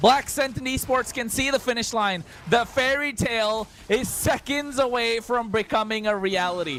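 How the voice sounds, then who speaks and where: Against noticeable background noise, a man with an extremely high voice talks at a moderate pace with hardly any pauses. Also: ordinary pitch variation. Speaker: esports caster. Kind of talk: live commentary. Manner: animated.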